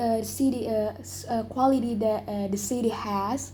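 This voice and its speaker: A woman talks at a fairly slow pace with a fairly high pitch and fairly even intonation, and there is audible room echo. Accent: Indonesian. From Indonesia. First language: Indonesian. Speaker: English learner in speaking test. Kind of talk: oral exam interview. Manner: halting, many fillers.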